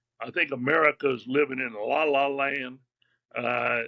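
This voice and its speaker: This man talks at a fairly slow pace. His intonation is monotone and flat. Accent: Louisiana. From Louisiana. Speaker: retired bank executive and author. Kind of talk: interview conversation. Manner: casual, folksy.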